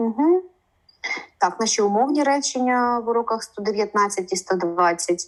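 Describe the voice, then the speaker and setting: A woman with a Ukrainian accent speaks at a moderate pace in a fairly high pitch. Her intonation is lively. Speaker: interpreter and co-teacher. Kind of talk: online lesson. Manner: halting, many fillers.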